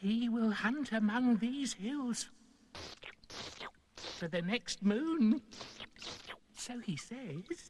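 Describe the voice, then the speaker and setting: A man does a cartoonish character voice at an extremely high pitch, with lively intonation. He goes very slowly, leaving long, frequent pauses. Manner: obsequious, wheedling.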